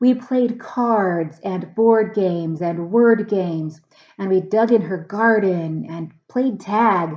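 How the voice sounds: The voice reads naturally. Pitch rises and falls in an ordinary way.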